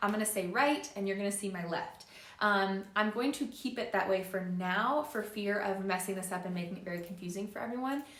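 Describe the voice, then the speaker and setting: Amid noticeable background noise and audible room echo, a woman talks at a fairly quick pace with hardly any pauses, medium pitch and ordinary pitch variation. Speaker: yoga instructor. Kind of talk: live-streamed yoga class instruction. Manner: not projecting voice, moderate volume; casual with frequent fillers.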